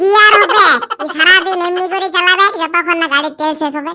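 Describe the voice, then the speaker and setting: The cartoonish character voice runs at a fairly quick pace with an extremely high pitch. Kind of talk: comic cartoon dialogue.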